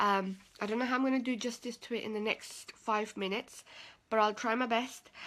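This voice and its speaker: A woman with a fairly high pitch keeps a moderate pace and fairly even intonation. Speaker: personal development coach. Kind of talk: live stream talk. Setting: live video stream. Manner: low energy.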